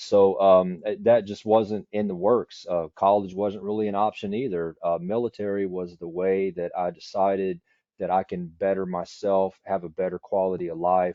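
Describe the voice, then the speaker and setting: A man speaks at a moderate pace in a fairly low pitch, with a monotone, flat intonation and hardly any pauses. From East Texas, US. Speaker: city IT executive, Air Force veteran. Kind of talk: interview. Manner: repetitive false starts.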